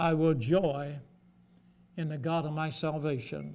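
A man speaks slowly with a fairly high pitch and a slightly mellow tone. His intonation stays fairly even, with some vocal fry.

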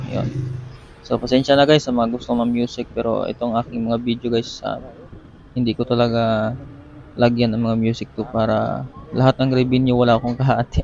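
A man talks at a fairly quick pace in a monotone, flat intonation amid noticeable background noise. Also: medium pitch for a man. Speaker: moto vlogger. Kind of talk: casual vlog voice-over. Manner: halting.

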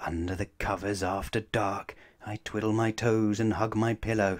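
A man's fairly low voice at a moderate pace, with little pitch movement

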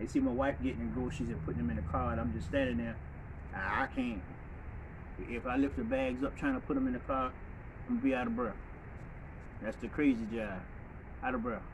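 Over noticeable background noise, a man speaks with very wide pitch swings. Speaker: vlogger. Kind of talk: casual vlog chat. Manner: breathy, short-winded, halting speech. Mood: frustrated, rueful. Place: street. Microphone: phone near.

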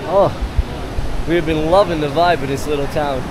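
A man's fairly high voice, dry with no echo, against noticeable background noise. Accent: American. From United States. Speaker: travel vlogger. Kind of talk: casual vlog narration. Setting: outdoors. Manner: animated. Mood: enthusiastic, impressed.

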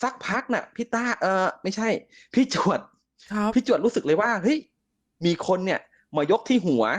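Loud and high-pitched, a man's voice sounds dry and close with no echo against a quiet background. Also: ordinary pitch variation. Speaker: caller telling a ghost story. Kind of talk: storytelling. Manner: loud and clear.

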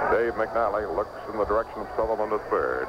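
Background noise is noticeable behind a man speaking at a moderate pace. His voice sounds dry, with no echo. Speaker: baseball radio broadcaster. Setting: ballpark press box, live radio. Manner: brisk, animated play-by-play delivery with conversational asides. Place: booth. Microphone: old recording.

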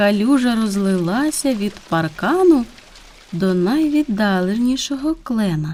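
With lively intonation, the speaker does plain reading aloud.

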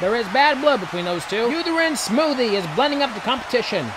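A man speaks in an excited tone at an extremely high pitch. Noticeable background noise runs behind him. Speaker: narrator. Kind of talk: comedic horse race commentary. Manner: fast, excited.

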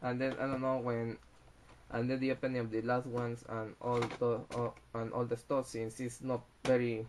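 Light background noise sits behind a man speaking at a moderate pace with monotone, flat intonation. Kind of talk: casual unboxing commentary. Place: home room. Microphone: webcam.

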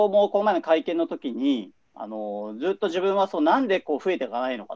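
A man speaks at a high pitch and a fairly quick pace, his pitch swinging very widely. His loudness rises and falls sharply over a quiet background. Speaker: journalist. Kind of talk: video discussion. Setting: video call from home. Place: home room. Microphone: webcam.

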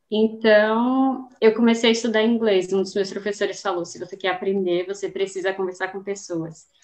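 A woman talks at medium pitch with fairly even intonation over a quiet background. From Northeastern Brazil, Aracaju. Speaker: scientist and Portuguese teacher. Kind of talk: casual interview. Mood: friendly, relaxed. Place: home room.

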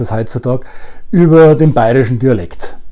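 A man with a Bavarian accent talks at a fairly quick pace. His pitch varies in an ordinary way against a quiet background. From Upper Bavaria, Germany. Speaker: dialect webinar host. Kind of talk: casual promo talk to camera. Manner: humorous, easygoing. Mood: humorous, relaxed. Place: home room. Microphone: webcam.

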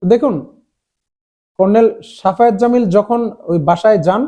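This man has a high pitch and a dark, mellow tone, and his pitch varies in an ordinary way. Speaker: political commentator. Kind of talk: political commentary monologue.

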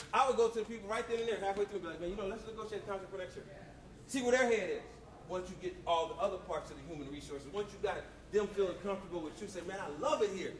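A man talks very fast at a high pitch with ordinary pitch variation. Room echo is audible, along with light background noise. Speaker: motivational speaker. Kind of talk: motivational talk. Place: hall.

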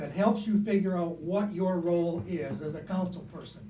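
A man with a high pitch at a fairly quick pace, amid noticeable background noise and audible room echo. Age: 70s. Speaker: public commenter at council meeting. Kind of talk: public comment. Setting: council meeting.

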